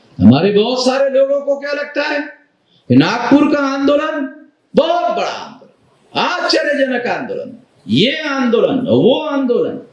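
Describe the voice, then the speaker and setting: The speaker's pitch varies in an ordinary way. There is audible room echo. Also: man, extremely high pitch for a man. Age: 60s. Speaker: activist leader. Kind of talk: public speech.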